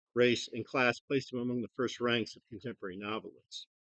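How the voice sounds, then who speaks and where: A man with a Midwestern American accent talks at medium pitch and a fairly quick pace, in a dry, close sound with no echo. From US Midwest, Toledo, Ohio. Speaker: retired English professor. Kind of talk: conference presentation. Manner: loud; hesitant, many fillers.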